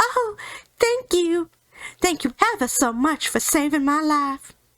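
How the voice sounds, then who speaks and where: Squeaky and high-pitched, this put-on character voice moves at a fairly slow pace. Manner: grateful.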